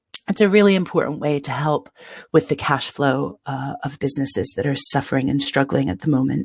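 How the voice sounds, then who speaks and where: A woman's very deep, low voice with an American accent, vocal fry, lively intonation and a fairly quick pace. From United States. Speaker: city official for nightlife. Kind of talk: webinar presentation.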